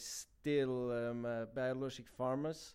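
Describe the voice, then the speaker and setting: A man with a Bavarian accent talks at a very slow pace. His medium pitch comes in a monotone, flat intonation. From Germany, Bavaria (Garmisch-Partenkirchen). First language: German. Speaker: chef. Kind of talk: interview. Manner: halting, many fillers.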